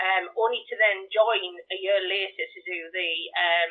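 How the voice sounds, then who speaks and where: The speaker's intonation stays fairly even, in a Geordie accent. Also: woman. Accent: Geordie, Newcastle tinge. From northern England, County Durham. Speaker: charity volunteer organiser. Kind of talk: radio interview. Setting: live radio broadcast.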